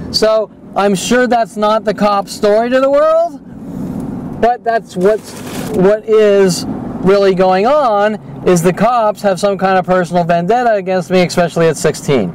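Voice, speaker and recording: Over noticeable background noise, a man with an American accent speaks at a fairly slow pace and high pitch, with ordinary pitch variation and very even loudness. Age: 40s. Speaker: video blogger. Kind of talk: personal monologue narration over video. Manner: filler-heavy, hesitant with many ums.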